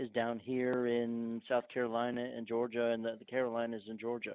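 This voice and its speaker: Here a man with a northern US accent talks at a fairly quick pace and medium pitch. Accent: northern US (Yankee). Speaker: archaeologist. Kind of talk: podcast interview.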